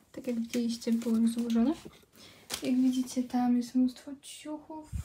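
This woman has a high pitch and a monotone, flat intonation. Light background noise is present. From Poland. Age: 20s. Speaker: vlogger. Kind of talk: casual vlog. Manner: halting. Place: home room. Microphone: phone near.

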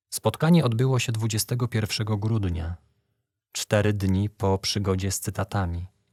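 A man with a fairly low pitch speaks at a very slow pace, his voice somewhat breathy. The recording is very clean, with a silent background and a dry, close sound with no echo. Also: ordinary pitch variation. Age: 20s. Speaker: young man giving a faith testimony. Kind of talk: testimony.

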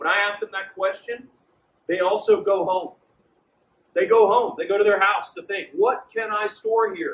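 A man talks at a moderate pace with a high pitch and ordinary pitch variation. His speech has long, frequent pauses. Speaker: sales trainer. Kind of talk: training presentation. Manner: confident; animated. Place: shop.

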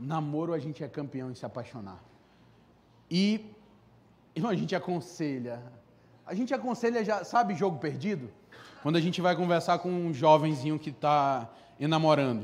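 With lively intonation and long, frequent pauses, a man with a fairly high pitch speaks at a moderate pace. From Brazil, Amazonas. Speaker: preacher. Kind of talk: sermon. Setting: church service with congregation. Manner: animated. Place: church. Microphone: handheld.

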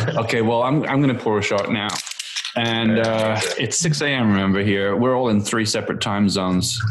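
Noticeable background noise sits under speech that proceeds at a moderate speed. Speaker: podcast co-host. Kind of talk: casual chat. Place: home room. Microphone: video call.

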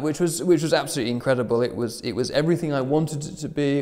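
A man speaks with normal pitch variation, the background quiet. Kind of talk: interview answer. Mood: enthusiastic, smiling. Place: hall.

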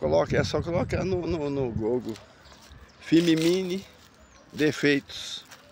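A man speaks at a moderate pace with very wide pitch swings. The sound is dry with no echo, and there is light background noise. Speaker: drone hobbyist YouTuber; drone hobbyist vlogger. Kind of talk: casual vlog monologue; casual vlog chat. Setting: outdoors walking in a park. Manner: hesitant with repetitions. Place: open country. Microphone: phone camera recording while walking; phone near.

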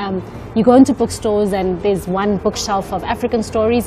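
Noticeable background noise behind a woman's voice, its intonation fairly even. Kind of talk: interview answer. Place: street. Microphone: lapel.

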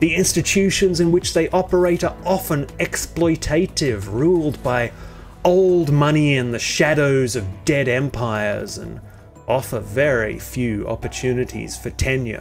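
A man speaks at a fairly slow pace with lively intonation. Music plays in the background. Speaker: video essay narrator. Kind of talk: satirical commentary narration.

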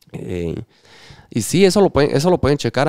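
Over a quiet background, a man with a Guatemalan accent talks at a fairly quick pace in a dark, mellow tone. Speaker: electronic music DJ; podcast guest, DJ. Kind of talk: casual interview chat. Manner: halting, repeats words. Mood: relaxed, earnest. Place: studio. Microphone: studio mic.

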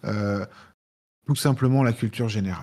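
In a quiet background, a man of medium pitch speaks at a moderate pace with fairly even intonation. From France, Lyon; France. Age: 40s. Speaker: cybersecurity expert, penetration tester. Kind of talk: live Q&A talk. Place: home room.

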